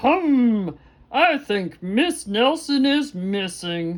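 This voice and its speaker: A put-on character voice, female-sounding and high-pitched, with very wide pitch swings at a very slow pace. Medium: read story. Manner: slow, ponderous.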